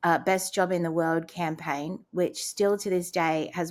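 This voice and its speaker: Speaking at a moderate pace with a slight Australian accent, the voice stays monotone with flat intonation on a very clean recording with a silent background. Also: woman. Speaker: transplant survivor and speaker. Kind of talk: casual interview.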